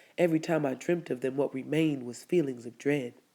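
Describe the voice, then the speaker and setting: A woman speaks in a dark, mellow tone, her pitch varying in an ordinary way. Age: adult. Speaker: spoken word poet. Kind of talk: spoken word poetry reading.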